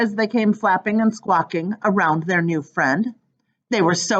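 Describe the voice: Over a quiet background, the speaker does plain reading aloud with ordinary pitch variation.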